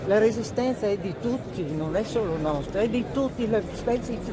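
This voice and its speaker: With audible room echo and noticeable background noise, a woman of medium pitch speaks at a moderate pace. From northern Italy, Veneto (Cimbrian, Cansiglio). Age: 90s. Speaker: war veteran. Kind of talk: interview.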